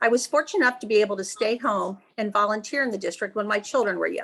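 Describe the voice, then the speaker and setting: A woman's fairly high voice with a Midwestern US accent, very fast, with ordinary pitch variation. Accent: US Midwest. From Cincinnati, Ohio. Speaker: school board member running for re-election. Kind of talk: candidate opening statement. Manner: formal.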